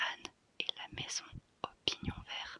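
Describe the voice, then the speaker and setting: Someone is whispering, with noticeable background noise. The sound is dry and close with no echo. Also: woman. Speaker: ASMR content creator. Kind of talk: ASMR whispered book-title reading. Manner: whispered, soft, slow, repeating each title twice.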